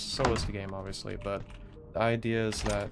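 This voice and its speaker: The speaker talks at a moderate pace. Background noise is noticeable. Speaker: streamer and game developer. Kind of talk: casual live stream chat. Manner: halting, with stutters; filler-heavy.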